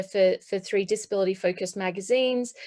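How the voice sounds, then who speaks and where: A woman's medium-pitched, monotone, flat delivery at a moderate pace. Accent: Australian. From Australia. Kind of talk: panel talk in webinar. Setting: online webinar.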